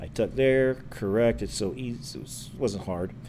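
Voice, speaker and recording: Mumbling at a moderate pace, a man has a dark, mellow tone and fairly low pitch. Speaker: chess streamer. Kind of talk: live stream commentary. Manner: casual, rambling.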